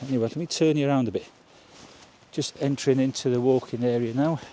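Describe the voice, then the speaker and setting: A man speaks in a British accent, keeping a moderate pace. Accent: British regional. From UK, rural village. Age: 60s. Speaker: vlogger. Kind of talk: casual vlog monologue. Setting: outdoors, walking through village; at home indoors.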